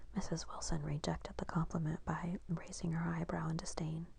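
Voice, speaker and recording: A woman whispering at a moderate pace. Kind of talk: audiobook reading; ASMR. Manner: whispered.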